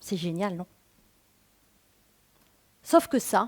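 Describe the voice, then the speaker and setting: Recorded very cleanly against a silent background, a woman speaks with a regional French accent in a dry, close sound with no echo. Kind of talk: stage talk. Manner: casual, conversational.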